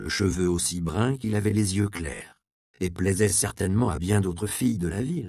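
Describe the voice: Over a quiet background, the text is given a plain reading aloud.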